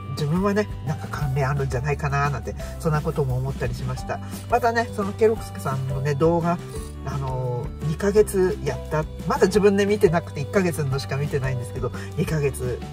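A man's fairly low-pitched voice, dry with no echo, over clear music in the background. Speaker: vlogger. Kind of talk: casual vlog chat. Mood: cheerful, smiling. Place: car. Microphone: phone near.

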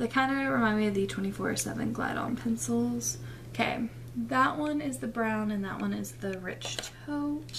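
Against light background noise, a woman talks at a moderate pace. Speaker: beauty vlogger. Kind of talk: casual vlog chat. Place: home room. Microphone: webcam.

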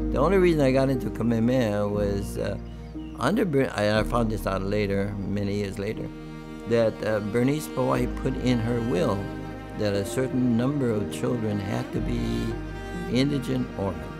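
Clear music sits behind a man speaking at a moderate pace. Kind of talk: interview answer. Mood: reflective, reminiscing. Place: home room.

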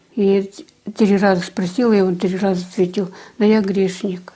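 A woman speaks at a medium pitch with little pitch movement. Her tone is dark and mellow, with a slightly husky edge. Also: moderate pace.

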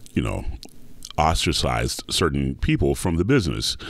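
With an American accent, a man speaks at a fairly quick pace in a very deep, low voice marked by vocal fry. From US South, Atlanta, Georgia. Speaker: opera singer. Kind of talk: interview.

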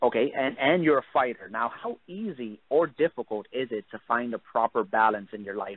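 A man with a New York accent speaks at a moderate pace and medium pitch, with ordinary pitch variation, hardly any pauses and big swings in loudness. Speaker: MMA interviewer. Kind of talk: interview. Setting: phone call.

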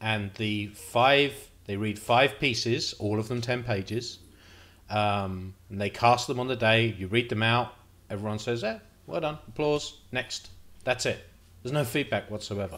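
The speaker talks at a fairly slow pace with ordinary pitch variation. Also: man. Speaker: playwright vlogger. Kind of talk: casual vlog chat. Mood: reflective, slightly nervous. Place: home room. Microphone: studio mic.

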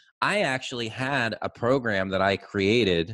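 A man with ordinary pitch variation against a quiet background. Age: 40s. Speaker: podcast host, agency owner; podcast host. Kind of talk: casual interview chat. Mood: amused, laughing, relaxed. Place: studio. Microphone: studio mic.

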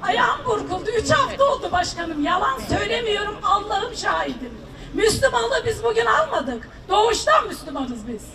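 A woman's raised, projected voice at an extremely high pitch with very wide pitch swings, crowd noise in the background. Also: moderate pace. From Turkey. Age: 60s. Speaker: farmer and retiree, citizen. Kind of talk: public complaint to a politician. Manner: emotional, pleading. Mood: earnest, pleading. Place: street.

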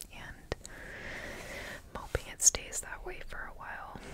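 Amid loud background noise, a woman speaks at a very slow pace. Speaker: ASMR creator. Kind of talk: ASMR whisper ramble to camera. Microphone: studio mic.

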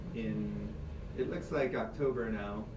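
Through noticeable background noise, a man speaks very slowly in an American accent. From US Midwest, Chicago. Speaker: musician. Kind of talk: casual interview. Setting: radio studio. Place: studio.

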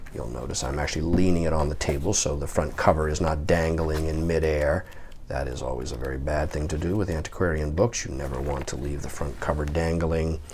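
Over noticeable background noise, a man with a very deep, low pitch talks at a fairly quick pace, his intonation fairly even and his pauses few. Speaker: book seller. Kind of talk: product demonstration commentary. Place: home room.

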